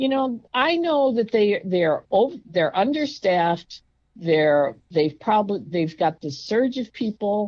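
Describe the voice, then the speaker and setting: Loud and very slow, the voice speaks with an American accent and very wide pitch swings. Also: woman, medium pitch for a woman. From New York. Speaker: patient telling her hospital story. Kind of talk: storytelling interview. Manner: animated.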